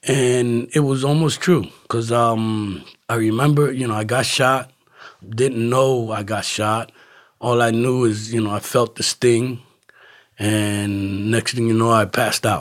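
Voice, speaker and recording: A man speaks at a fairly slow pace with fairly even intonation. The recording is very clean, with a silent background. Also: medium pitch for a man. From Camden, New Jersey. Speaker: recovering addict. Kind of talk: testimony.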